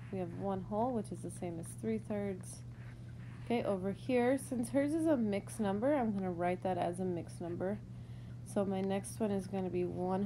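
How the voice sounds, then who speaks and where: Moderate pacing from a woman, plus audible room echo. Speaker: elementary school teacher. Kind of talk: tutorial. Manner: casual, hesitant.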